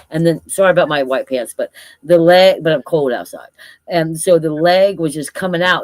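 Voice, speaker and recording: A woman talks at a moderate pace in a plain, everyday voice, fairly low in pitch. The recording is very clean, with a silent background. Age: 60s. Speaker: cryptid field researcher. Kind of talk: casual chat.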